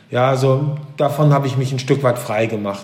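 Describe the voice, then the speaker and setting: Medium-pitched male speech at a moderate tempo, amid noticeable background noise and audible room echo. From East Frisia, northern Germany. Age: 40s. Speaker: business executive and author. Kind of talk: interview. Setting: video call.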